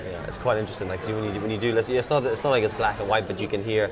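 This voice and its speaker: A very fast, fairly low-pitched man's voice with fairly even intonation, audible room echo and noticeable background noise. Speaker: video interviewer and photographer. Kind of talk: casual interview. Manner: mumbling.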